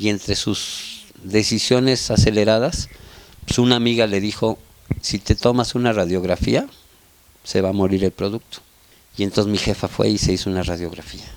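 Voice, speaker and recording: Fairly low-pitched male voice with fairly even intonation over noticeable background noise. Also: moderate pace. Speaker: family member interviewee. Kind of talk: documentary interview.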